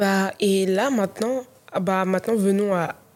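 This is a woman speaking at a medium pitch. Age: 20s. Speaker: content creator. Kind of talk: casual chat.

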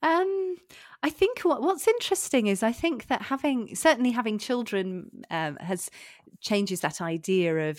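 In a British accent, a woman talks at a moderate pace. Her pitch swings very widely. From UK. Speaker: executive coach and former teacher. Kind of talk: interview. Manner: halting, many repetitions.

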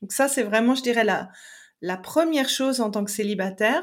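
In a very clean recording with a silent background, a woman with an unremarkable speaking voice talks at a fairly high pitch with ordinary pitch variation. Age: 40s. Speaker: relationship coach and therapist. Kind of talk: casual interview chat.

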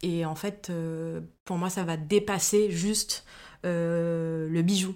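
A woman speaks at a fairly low pitch in a monotone, flat delivery. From Guadeloupe. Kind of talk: interview. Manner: hesitant, many fillers.

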